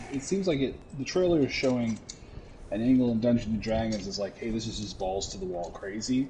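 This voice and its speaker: Lively intonation marks a man's medium-pitched, somewhat breathy voice with a dark, mellow tone. He speaks at a fairly quick pace. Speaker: gamer streaming gameplay with a friend. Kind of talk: casual chat. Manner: halting, stuttering.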